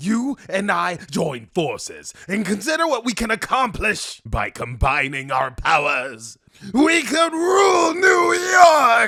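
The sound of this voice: A man's high, put-on character voice at a fairly slow pace with hardly any pauses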